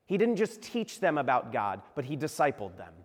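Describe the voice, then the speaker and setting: A man's voice with an American accent, vocal fry, very wide pitch swings and a moderate pace. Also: very clean recording, silent background. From Virginia. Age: 30s. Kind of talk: sermon. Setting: church.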